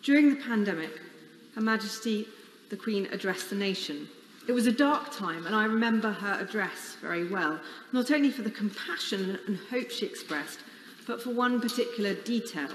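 A woman speaks fairly quickly with lively intonation. Light background noise and audible room echo are present. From England. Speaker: member of parliament. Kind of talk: solemn parliamentary eulogy tribute. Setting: chamber of parliament. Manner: formal, measured and reverent; warm, with a light wry laugh. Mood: solemn, mournful, emotional. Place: hall.

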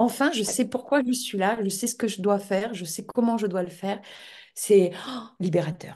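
Against a quiet background, a woman speaks at a fairly slow pace with a dark, mellow tone, a somewhat breathy sound and ordinary pitch variation. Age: 50s. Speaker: interviewee. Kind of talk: interview. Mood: earnest, moved at the end. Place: home room. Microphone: video call.

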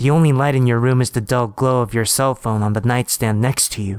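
A plain, everyday voice, a man's at medium pitch, moves at a fairly quick pace with fairly even intonation. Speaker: horror story narrator. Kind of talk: second-person creepypasta ghost story narration, building dread. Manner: taunting, sinister asides to the listener.

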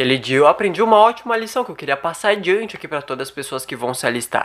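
Against a quiet background, a man talks very fast in a high, bright, sharp tone with very wide pitch swings. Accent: Brazilian. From Brazil. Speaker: stand-up comedian and YouTuber. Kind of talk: stand-up comedy. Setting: home, filmed in bedroom. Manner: casual, slangy, swearing. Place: home room. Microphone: studio mic.

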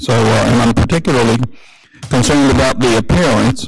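Moderate pace over clear music in the background. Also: man. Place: hall. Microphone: podium.

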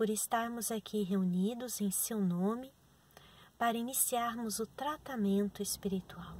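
At a very slow pace, a woman speaks in a somewhat breathy voice with ordinary pitch variation, the sound dry with no echo and light background noise. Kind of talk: instructions, then a spoken prayer. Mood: calm, gentle. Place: car. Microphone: phone near.

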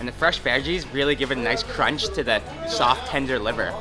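A man talks with clear music in the background. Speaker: food vlogger. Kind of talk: casual vlog chat. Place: market.

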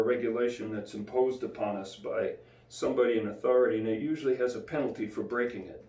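Audible room echo surrounds a man speaking at a very fast pace. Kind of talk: devotional bible teaching. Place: home room. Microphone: camera far.

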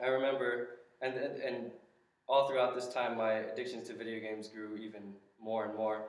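Amid audible room echo, a man with an American accent and medium pitch talks at a fairly quick pace in monotone, flat intonation, with long, frequent pauses. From Southern California, Los Angeles County; California. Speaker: church member giving testimony; speaker. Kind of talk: testimony; personal witness talk to a group. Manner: halting, many fillers. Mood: earnest, reflective. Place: classroom. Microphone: camera far.

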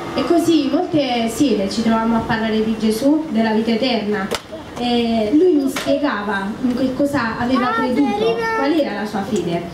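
Audible room echo along with noticeable background noise. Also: woman, moderate pace. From southern Italy, Apulia (San Severo). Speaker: church member giving testimony. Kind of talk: testimony. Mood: calm, earnest, slightly nervous. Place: tent.

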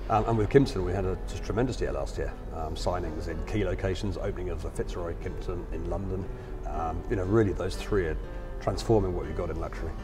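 A man talks at a very fast pace over clear background music. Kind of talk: interview answer. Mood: upbeat, positive. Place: hall. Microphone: lapel.

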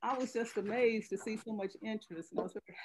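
Very fast speech from a woman, ordinary pitch variation, light background noise. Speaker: chapter host welcoming members. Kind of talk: welcome remarks at an online meeting. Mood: warm, cheerful. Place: home room. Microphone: video call.

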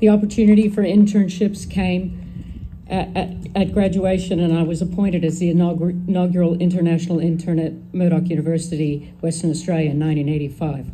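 Speaking with an American accent, a woman has a dark, mellow, somewhat breathy voice, fairly low in pitch. She talks at a moderate pace with hardly any pauses and fairly even intonation over light background noise. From Northern California. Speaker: daughter of the deceased giving eulogy. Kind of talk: eulogy reading. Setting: memorial gathering with audience. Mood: emotional, fond, grateful. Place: garden. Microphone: podium.

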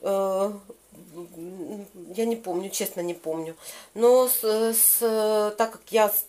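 Very slow speech from a woman with a fairly high voice. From Kyiv, Ukraine. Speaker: lifestyle vlogger. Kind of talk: casual talk to camera. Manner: chatty, upbeat. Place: home room. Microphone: phone near.

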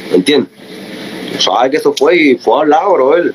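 Light background noise sits under a man's voice. He speaks at a fairly high pitch with ordinary pitch variation. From Cuba. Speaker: reggaeton artist. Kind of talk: heated rant. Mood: confrontational, boastful. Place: home room. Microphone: phone near.

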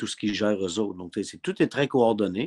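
Against a quiet background, a man speaks in a fairly low pitch with a Quebec accent. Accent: Québécois French. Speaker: sports broadcaster; radio host as guest. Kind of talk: casual chat. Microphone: webcam.

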